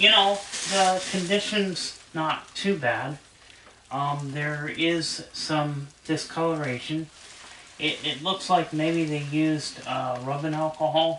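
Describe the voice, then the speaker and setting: Very slow speech over noticeable background noise. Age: 30s. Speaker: VCR repair hobbyist and collector. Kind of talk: casual tutorial video. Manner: hesitant, with many fillers.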